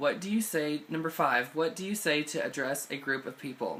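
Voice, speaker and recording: A man speaks with a Southern US accent and ordinary pitch variation. Noticeable background noise runs under his voice. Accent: Southern American. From southeast Missouri, USA. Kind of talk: casual talk to camera.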